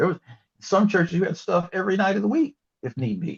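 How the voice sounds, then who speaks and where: A man speaks with vocal fry and very wide pitch swings. The sound is dry and close, with no echo. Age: 70s. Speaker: retired history professor. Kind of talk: interview. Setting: podcast recording. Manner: halting, many fillers.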